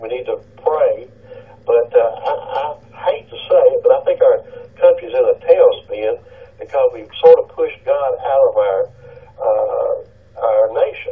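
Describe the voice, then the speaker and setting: A man with a Tennessee accent and an extremely high voice, fairly slow with long, frequent pauses, monotone and flat in intonation, with big swings in loudness over noticeable background noise. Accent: US South, Tennessee. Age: 60s. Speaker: caller, retired police officer. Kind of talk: call-in radio talk. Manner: halting.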